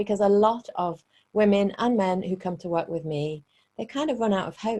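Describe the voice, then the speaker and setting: A woman with a British accent talks in a dark, mellow tone at a medium pitch, with ordinary pitch variation. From Britain. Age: 40s. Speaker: relationship coach. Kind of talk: webinar presentation. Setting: online webinar.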